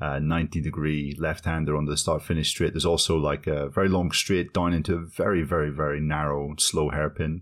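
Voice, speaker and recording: On a very clean recording with a silent background, a man speaks at a fairly quick pace. His voice is very deep and low. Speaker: podcast co-host. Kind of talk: casual chat.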